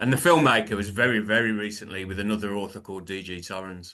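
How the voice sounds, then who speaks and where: In a Birmingham accent, a man with a fairly low pitch and a bright, sharp tone talks at a fairly quick pace with ordinary pitch variation. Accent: Birmingham (Brummie). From England, Birmingham. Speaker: author and filmmaker, former musician. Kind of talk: interview. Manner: hesitant, many fillers.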